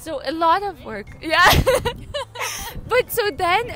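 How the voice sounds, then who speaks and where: Very wide pitch swings from a woman, noticeable background noise behind her. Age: 18. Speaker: university student. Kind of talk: casual interview.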